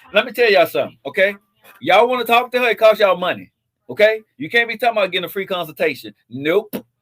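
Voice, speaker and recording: Loud and very fast, a man speaks at a high pitch with lively intonation. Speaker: live show host. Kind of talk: casual chat.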